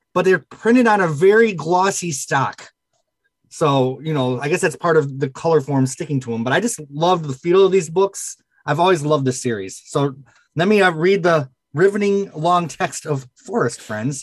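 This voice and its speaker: A man speaks in an ordinary speaking voice, pitched fairly high. His intonation is lively and his pace moderate. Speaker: book collector. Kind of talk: casual chat.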